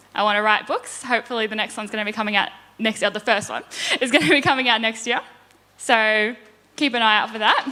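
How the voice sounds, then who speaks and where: Speaking at a very fast pace with an Australian accent, the voice has long, frequent pauses and fairly even intonation. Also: woman. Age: 20s. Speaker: property investor. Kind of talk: conference presentation.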